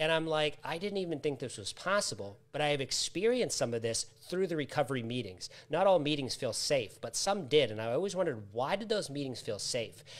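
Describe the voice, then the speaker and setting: A man with an American accent talks at a fairly quick pace and a fairly high pitch. His pitch swings very widely. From US Northeast, Massachusetts. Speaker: author, trainer and recovery coach; coach guest. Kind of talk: live interview. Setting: live online video stream. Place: home room.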